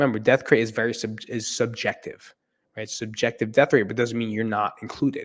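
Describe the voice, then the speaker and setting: On a very clean recording with a silent background, a man with an American accent speaks at a moderate pace and medium pitch. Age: 40s. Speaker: mental health podcaster. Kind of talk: casual podcast monologue. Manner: animated.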